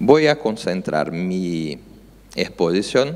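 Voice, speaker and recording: A man speaks with a Brazilian accent. His pitch is very deep and low. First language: Portuguese (speaking Spanish). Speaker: judge. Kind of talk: conference talk. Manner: halting, many filler sounds.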